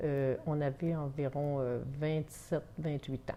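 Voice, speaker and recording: A woman speaks at a very slow pace. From Quebec, Hautes-Laurentides. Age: 60s. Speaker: grandmother interviewed by granddaughter. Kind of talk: interview answers. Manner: hesitant, many filler sounds.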